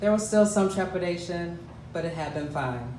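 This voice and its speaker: With an American accent and a high pitch, a man speaks at a moderate pace over noticeable background noise. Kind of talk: live storytelling performance.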